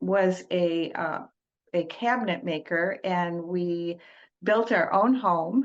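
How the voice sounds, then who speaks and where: Speaking at a very slow pace with a Michigan accent, a woman keeps a fairly low pitch and ordinary pitch variation. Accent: US Midwest (Michigan). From Detroit, US Midwest. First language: Italian. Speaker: trauma-informed coach, former teacher. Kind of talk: podcast interview. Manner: hesitant, many fillers.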